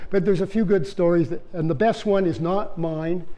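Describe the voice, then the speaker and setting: Speaking with a Canadian accent, a man has a high pitch and a dark, mellow tone. He talks at a fairly quick pace amid audible room echo. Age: 70s. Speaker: retired bear biologist. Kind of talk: public lecture. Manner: animated storytelling.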